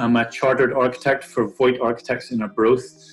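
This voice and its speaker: Man with a Northern Irish accent at a fairly quick pace, music in the background. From Northern Ireland. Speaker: architect. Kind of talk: career talk to camera. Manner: hesitant, many fillers.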